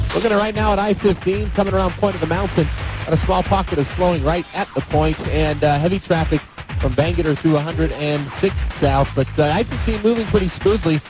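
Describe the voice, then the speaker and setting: Music plays in the background as a man speaks at a fairly quick pace. His loudness stays very even. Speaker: traffic reporter in helicopter. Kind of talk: radio traffic report.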